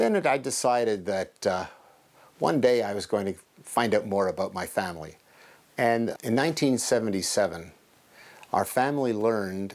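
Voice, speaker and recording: A man speaks with a Montreal accent at a moderate pace. His pitch variation is ordinary. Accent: Montreal English Canadian. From Quebec, Montreal. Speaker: genealogist and retired businessman. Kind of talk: documentary interview.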